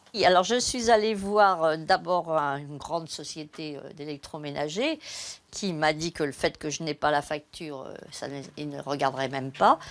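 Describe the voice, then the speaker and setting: With ordinary pitch variation and a moderate pace, a woman whose pitch is very deep and low speaks on a very clean recording with a silent background. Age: 60s. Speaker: retiree. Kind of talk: interview. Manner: halting, many hesitations.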